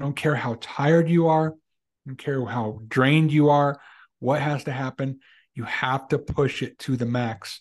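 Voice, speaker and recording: A normal speaking voice from a man, fairly high in pitch, with fairly even intonation, a moderate pace and a quiet background. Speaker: podcast co-host. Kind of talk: casual chat.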